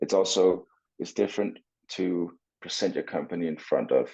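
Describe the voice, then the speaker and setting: A man with a Danish accent at a moderate pace. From Denmark, Copenhagen. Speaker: swimmer and entrepreneur. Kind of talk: interview.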